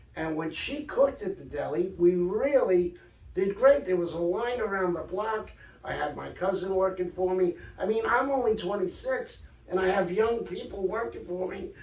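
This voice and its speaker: In a New York accent, a man talks with a high pitch. His pitch variation is ordinary. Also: moderate pace. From New York, Brooklyn. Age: 60s. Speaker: author and storyteller. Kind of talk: casual interview. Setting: in a shop.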